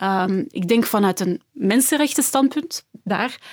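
A woman talks at a fairly slow pace. Hers is an ordinary speaking voice. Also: dry, close sound with no echo. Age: 20s. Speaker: political science researcher. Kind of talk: panel discussion.

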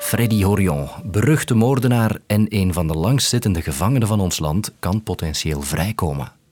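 With music in the background, a man of fairly low pitch talks at a moderate pace with lively intonation and hardly any pauses. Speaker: news podcast host. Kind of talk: scripted narration.

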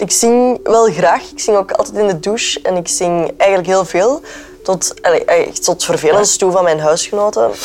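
A woman talks at a moderate pace and a medium pitch with lively intonation. Noticeable background noise can be heard. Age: 20s. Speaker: actress and radio presenter. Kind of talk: casual chat. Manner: halting.

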